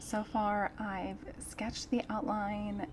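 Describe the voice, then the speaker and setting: A soft-spoken woman talks at a medium pitch. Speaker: artist. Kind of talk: casual chat. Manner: relaxed.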